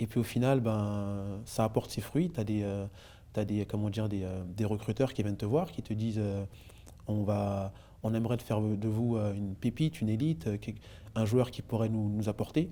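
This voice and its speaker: The man's pitch is fairly low, with ordinary variation. He talks at a moderate pace. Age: 30s. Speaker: former basketball player. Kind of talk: interview. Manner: hesitant, many fillers.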